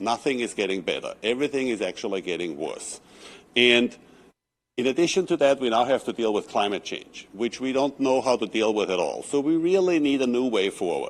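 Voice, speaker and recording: Against a quiet background, a man talks at a fairly quick pace with a non-native accent. His medium-pitched voice has lively intonation. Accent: foreign. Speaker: architect. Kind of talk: public comment at council meeting.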